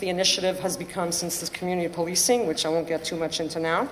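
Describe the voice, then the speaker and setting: A woman talks over noticeable background noise. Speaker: panelist, former police trainee. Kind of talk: panel talk. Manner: halting.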